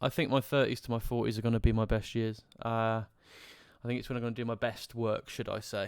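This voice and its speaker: A man with a West Midlands accent talks at a very fast pace in a monotone, flat delivery, recorded very cleanly with a silent background. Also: medium pitch for a man. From English Midlands, Coleshill. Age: 20s. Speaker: live streamer and life coach. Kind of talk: casual live stream chat, personal life story. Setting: live stream with chat. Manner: halting, many fillers.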